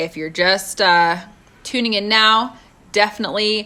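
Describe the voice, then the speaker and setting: A woman takes a fairly slow pace, her intonation lively throughout. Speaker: motivational live streamer. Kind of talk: casual live-stream talk. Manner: loud.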